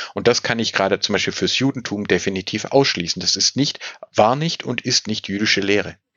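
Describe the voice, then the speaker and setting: Fairly quick speech with ordinary pitch movement comes in a normal speaking voice. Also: man, fairly low pitch for a man. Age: 40s. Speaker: state official on antisemitism, religious scholar. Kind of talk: interview.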